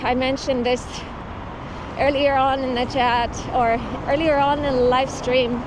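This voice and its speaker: A woman's voice sits at a high pitch, with audible room echo. Noticeable background noise can be heard. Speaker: cycling livestreamer. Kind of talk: live stream chat while cycling. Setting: outdoors on a bike.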